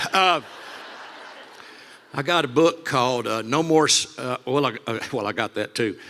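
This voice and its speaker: There is noticeable background noise behind a man of medium pitch. He leaves long, frequent pauses. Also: ordinary pitch variation, moderate pace. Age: 70s. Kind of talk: stand-up. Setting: stage with audience. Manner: animated.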